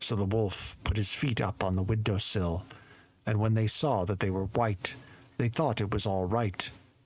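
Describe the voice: With fairly even intonation, the speaker does plain reading aloud.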